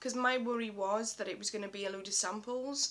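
Light background noise sits behind a woman who speaks at a fairly high pitch and a fairly slow pace with fairly even intonation. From UK. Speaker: beauty vlogger. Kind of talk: product review. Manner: halting. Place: home room. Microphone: webcam.

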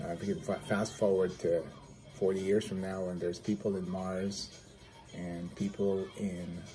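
Faint music plays in the background as a man speaks at a very deep, low pitch. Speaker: physical therapist vlogger. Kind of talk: casual vlog chat. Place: home room.

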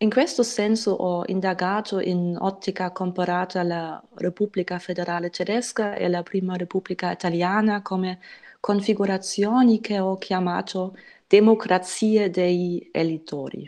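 With a German accent, a woman speaks at a fairly slow pace in a dark, mellow tone with a medium pitch and fairly even intonation, over a quiet background. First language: German (speaking Italian). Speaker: historian presenting her book. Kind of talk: academic lecture. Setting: video call webinar. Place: home room. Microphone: earbuds.

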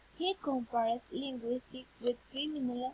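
Light background noise sits behind a woman with a Spanish accent who speaks at a high pitch with fairly even intonation. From Colombia. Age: 20s. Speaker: university student. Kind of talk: reading aloud. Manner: halting. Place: home room. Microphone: webcam.

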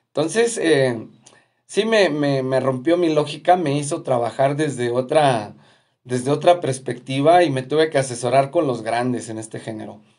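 A man with a Mexican accent talks at a moderate pace, his pitch fairly high for a man. His pitch varies in an ordinary way against a quiet background. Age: 40s. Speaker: musician and video host; video host. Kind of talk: casual live stream monologue. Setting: at home. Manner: halting, many fillers and repetitions. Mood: cheerful, grateful. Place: home room. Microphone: phone near.

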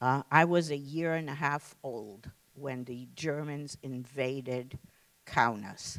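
Very deep and low, this woman's voice moves at a very slow pace with ordinary pitch variation. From Lithuania. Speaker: Holocaust survivor and former teacher. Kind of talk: testimony. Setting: stage with audience. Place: hall.

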